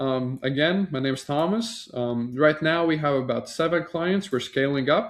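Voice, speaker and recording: Speaking with a slight Latvian accent, a man talks at a fairly slow pace in a fairly high pitch, his pitch varying in an ordinary way. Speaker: marketing agency founder. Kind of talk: sales pitch. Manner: casual, with frequent fillers.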